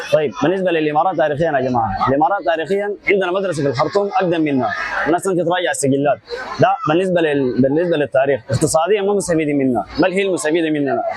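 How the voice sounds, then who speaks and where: Over noticeable background noise, a man talks very fast in a high pitch with ordinary pitch variation. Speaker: street interviewee. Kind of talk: street interview opinion. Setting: outdoors, street.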